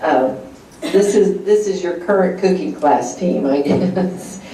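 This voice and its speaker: Against noticeable background noise and audible room echo, a woman speaks at a fairly slow pace. Her intonation is lively. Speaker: cooking class instructor. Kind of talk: cooking class demonstration. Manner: soft-spoken; hesitant, many fillers.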